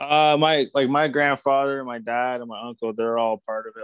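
A man with a normal speaking voice and a Canadian accent talks at a moderate pace with fairly even intonation, in a dry, close sound with no echo and a quiet background. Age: 20s. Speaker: stock car racing driver. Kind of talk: casual interview.

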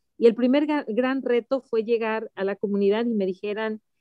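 A woman with a plain, everyday voice, fairly high in pitch, at a moderate pace with fairly even intonation. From Mexico City. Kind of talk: interview testimony.

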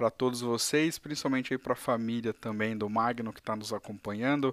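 An ordinary speaking voice: a man at a medium pitch talks at a fairly quick pace with fairly even intonation, in a very clean recording with a silent background and a dry, close sound with no echo. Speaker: live stream interview host. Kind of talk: casual live stream interview.

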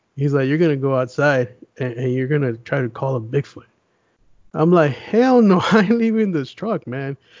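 A man with an American accent and a plain, everyday voice talks at a moderate pace, fairly high in pitch, with lively intonation. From US West (Las Vegas, Los Angeles). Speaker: paranormal YouTuber. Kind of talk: casual chat.

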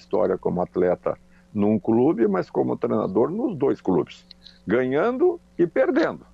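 A man speaks at a fairly slow pace. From Rio Grande do Sul, Brazil (Charqueadas). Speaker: former footballer and coach. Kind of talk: interview. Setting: phone call.

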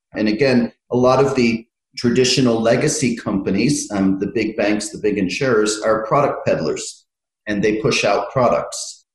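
With an American accent, the voice is somewhat breathy, moving at a moderate pace with ordinary pitch variation. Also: man, medium pitch for a man. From United States. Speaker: fintech consultant. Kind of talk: interview.

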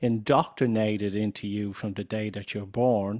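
A man talks at a fairly slow pace with a fairly low pitch. The recording is very clean and dry, close with no echo and a silent background. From Ireland. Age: 50s. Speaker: business consultant and coach. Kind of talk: interview conversation.

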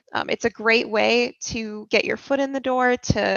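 A woman talks in a plain, everyday voice with a fairly high pitch. Her pitch variation is ordinary. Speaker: university student. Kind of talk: podcast interview.

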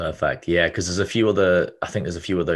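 Fairly even intonation and vocal fry mark this man's voice. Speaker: podcast host. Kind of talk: casual interview chat.

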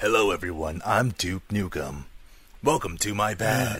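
Using a raspy, breathy put-on character voice, a man speaks at a moderate pace. His pitch is fairly low and his intonation is lively.

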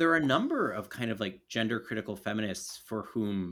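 A man with an American accent and an unremarkable speaking voice, fairly low in pitch, at a moderate pace, on a very clean recording with a silent background. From US, Baltimore. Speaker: political philosopher and author. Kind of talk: podcast interview conversation.

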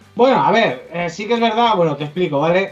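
A man races at a very fast pace, his pitch varying in an ordinary way, against noticeable background noise. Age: 30s. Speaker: collector. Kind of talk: casual chat.

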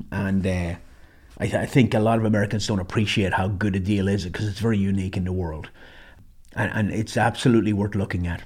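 A man with an Irish accent talks at a very fast pace in a fairly low, somewhat breathy voice. His intonation stays fairly even on a very clean recording with a silent background. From Ireland. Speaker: military veteran and survival trainer. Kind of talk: casual monologue storytelling.

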